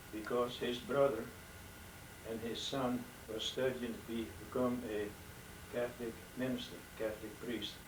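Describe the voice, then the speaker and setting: A man speaks at a moderate pace with monotone, flat intonation. Noticeable background noise and audible room echo surround his voice. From Netherlands. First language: Dutch. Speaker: elderly father telling life story. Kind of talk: testimony. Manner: halting.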